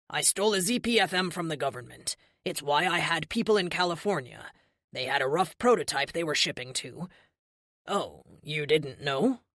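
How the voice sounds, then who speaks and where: Using a put-on character voice, a man talks at a moderate pace with a high pitch and lively intonation. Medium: read story. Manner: apologetic.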